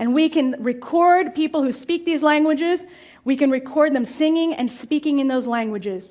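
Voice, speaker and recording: Her speech carries a Russian accent. The woman's pitch shows ordinary variation. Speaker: language learning speaker. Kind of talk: talk to live audience.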